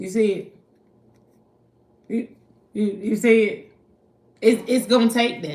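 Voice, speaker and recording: In a Southern US accent, a woman speaks at a fairly slow pace and fairly high pitch, her tone animated, with big swings in loudness and long, frequent pauses. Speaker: spiritual card reader. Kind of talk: live stream tarot reading. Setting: livestream at night.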